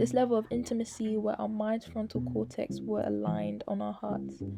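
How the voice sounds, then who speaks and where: A woman keeps a moderate speed while music plays in the background. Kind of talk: spoken word poem; poetry reading.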